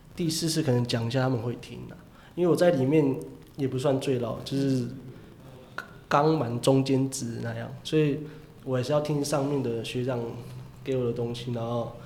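Audible room echo colors a man's medium-pitched voice, which moves at a moderate pace with fairly even intonation. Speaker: professional baseball player. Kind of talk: casual interview chat.

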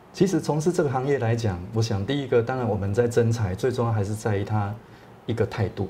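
A man talks very fast at a medium pitch, with ordinary pitch variation. His tone is dark and mellow, and somewhat breathy. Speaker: real estate agency owner. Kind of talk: interview. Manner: halting.

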